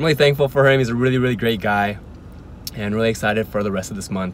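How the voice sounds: A man talks at a fast pace in a fairly low voice with little pitch movement.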